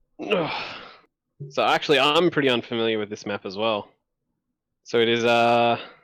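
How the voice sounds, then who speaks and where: With an Australian accent, a man speaks at medium pitch and a moderate pace. He leaves long, frequent pauses, and his pitch varies in an ordinary way. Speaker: co-caster. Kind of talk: live commentary.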